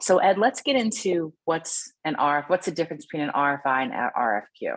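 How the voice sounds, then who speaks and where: Her fairly low voice swings very widely in pitch as this woman talks at a fairly quick pace. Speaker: utility company supplier diversity representative. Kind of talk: webinar presentation.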